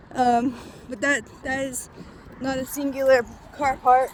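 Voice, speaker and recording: The woman's voice is high in pitch. Noticeable background noise can be heard throughout. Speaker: vlogger. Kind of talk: casual vlog. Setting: outdoors walking to work. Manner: filler-heavy, casual.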